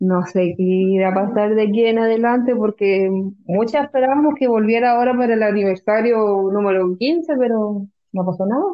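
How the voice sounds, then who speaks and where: A woman speaks with a plain, everyday voice at a fairly high pitch and a moderate pace. Her pitch varies an ordinary amount, and her loudness stays very even. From Chile, Concepción. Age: 20s. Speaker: educational psychologist and fan club member. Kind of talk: casual chat.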